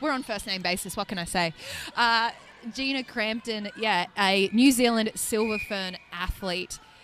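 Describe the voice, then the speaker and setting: This speaker has an Australian accent and ordinary pitch variation. The pace is fairly slow. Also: woman, fairly high pitch for a woman. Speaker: netball commentator. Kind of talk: live sports commentary. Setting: live event arena. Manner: animated.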